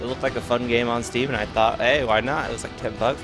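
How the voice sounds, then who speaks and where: Music plays in the background as a man talks at a very fast pace. His pitch is medium and his intonation fairly even. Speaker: game streamer. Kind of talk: casual gameplay commentary. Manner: stuttering.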